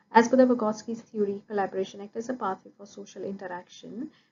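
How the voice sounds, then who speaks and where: A woman with a Punjabi accent speaks at a very fast pace, her voice somewhat breathy. Her pitch is medium and her intonation fairly even. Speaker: early childhood education student. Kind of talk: recorded class presentation. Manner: formal, with hesitations.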